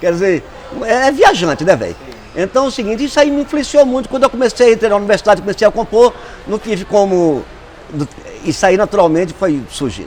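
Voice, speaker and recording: Noticeable background noise sits behind a man with a high pitch and lively intonation. He talks at a very fast pace yet leaves long, frequent pauses. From Brazilian Northeast, rural Tauá (Ceará) with Paraíba family. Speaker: musician and composer. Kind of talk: documentary interview. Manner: hesitant, with filler words.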